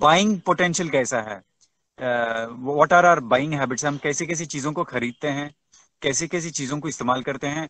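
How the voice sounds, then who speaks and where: The speaker talks with a Tamil accent and a lively, bouncing intonation. The sound is dry and close, with no echo at all. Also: man. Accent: Tamil-accented Hindi. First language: Tamil (speaking Hindi). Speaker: webinar speaker. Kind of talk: webinar talk. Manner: halting, many fillers; code-switching Hindi and English.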